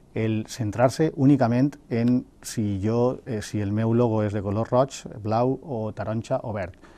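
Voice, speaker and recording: The tone is dark and mellow, with ordinary pitch variation. The speech moves at a very slow pace. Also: man. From Valencia region, Spain (Algemesí); Valencia region, Spain. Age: 40s. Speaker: mayoral candidate and university lecturer; election candidate. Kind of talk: interview. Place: studio. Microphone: lapel.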